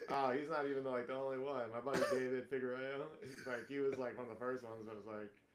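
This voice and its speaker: Over noticeable background noise and audible room echo, a man of medium pitch talks very fast in a flat monotone with hardly any pauses. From Miami and Atlanta, US South. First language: Spanish. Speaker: comedian. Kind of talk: casual chat.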